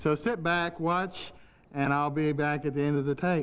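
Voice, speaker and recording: An ordinary speaking voice at a moderate pace, with fairly even intonation and very even loudness. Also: man, fairly high pitch for a man. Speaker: puppeteer. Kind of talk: promotional talk to camera.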